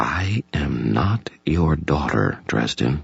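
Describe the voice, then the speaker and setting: In a put-on character voice, the speaker is soft-spoken with a calm tone. Delivery is very slow, with very wide pitch swings. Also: man, very deep, low pitch for a man. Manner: calm, quiet, firm.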